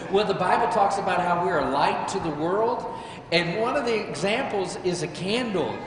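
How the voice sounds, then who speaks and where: The woman's pitch varies in an ordinary way, with audible room echo and noticeable noise in the background. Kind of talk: children's sermon. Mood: warm, playful. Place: church.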